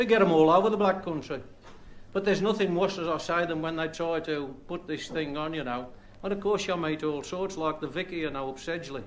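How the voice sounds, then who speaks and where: A man speaks at a fairly quick pace, his pitch fairly high with ordinary variation. Noticeable background noise runs under the recording. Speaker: comedian. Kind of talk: stand-up comedy monologue.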